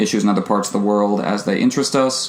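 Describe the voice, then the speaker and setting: This man has an unremarkable speaking voice, fairly low in pitch, with an American accent, ordinary pitch variation and a fairly quick pace. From United States. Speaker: podcast co-host. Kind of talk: casual podcast chat.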